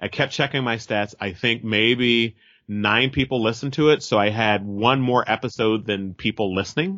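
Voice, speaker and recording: Speaking at a moderate pace, a man with a Californian accent uses a medium pitch and ordinary pitch variation. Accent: Californian American. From Merced, California (Central Valley). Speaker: actor and podcaster. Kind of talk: interview. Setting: phone call.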